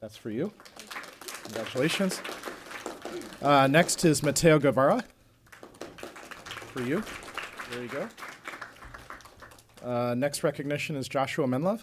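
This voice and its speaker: Crowd noise fills the background behind a man with a fairly high pitch. He leaves long, frequent pauses, and his loudness swings widely. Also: ordinary pitch variation, moderate pace. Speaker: school board official presenting recognitions. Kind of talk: public meeting announcements. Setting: school board meeting.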